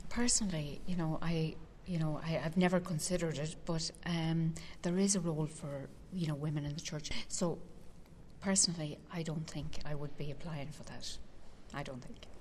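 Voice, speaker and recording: Speaking at a moderate pace with a Dublin accent, a woman has a very deep, low voice that is somewhat breathy, with fairly even intonation. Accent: Dublin Irish. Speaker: consecrated virgin and lay minister. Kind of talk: interview.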